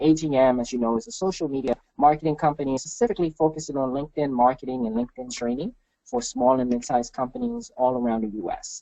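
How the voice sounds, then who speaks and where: A very fast voice with a dark, mellow tone and a Haitian accent, ordinary pitch variation, and a dry, close sound with no echo. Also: man. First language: Haitian Creole. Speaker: marketing consultant. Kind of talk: webinar presentation. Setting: webinar.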